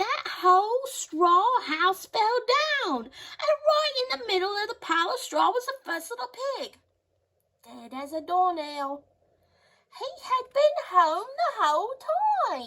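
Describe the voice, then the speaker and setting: Putting on a character voice, a woman speaks fairly slowly at an extremely high pitch, swinging her pitch very widely and pausing long and often. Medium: read story. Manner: self-justifying.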